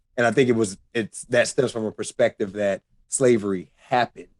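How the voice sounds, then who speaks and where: Fairly low in pitch, a man talks in an ordinary speaking voice with fairly even intonation. The sound is dry and close, with no echo. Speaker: podcast co-host. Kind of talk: casual chat.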